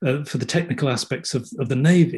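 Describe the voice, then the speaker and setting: A man with a southern English accent, fairly high pitch, ordinary pitch variation, a dark, mellow tone and a somewhat breathy sound. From southeast England (Kent). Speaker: theatre set and costume designer. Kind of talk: interview. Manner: halting.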